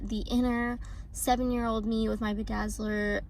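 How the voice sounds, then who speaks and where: Noticeable background noise sits under the recording. The woman talking takes a fairly slow pace. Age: young. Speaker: lifestyle vlogger. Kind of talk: casual talk to camera.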